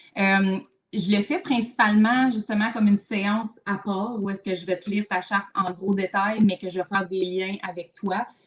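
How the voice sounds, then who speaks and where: A woman speaks at a moderate pace. Her pitch is medium, and she talks with a Quebec accent. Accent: Québécois French. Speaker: mental load specialist, therapist. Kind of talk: live video chat. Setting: livestream video call. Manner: loud when enthusiastic; animated.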